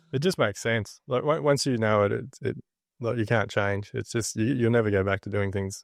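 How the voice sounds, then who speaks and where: Someone with an Australian accent speaks at a fairly quick pace. The sound is dry and close with no echo, over a quiet background. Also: man. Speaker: builder and podcast host. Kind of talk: casual interview chat.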